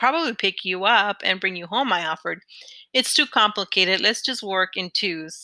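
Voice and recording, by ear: Someone reads aloud. It is done in a natural voice.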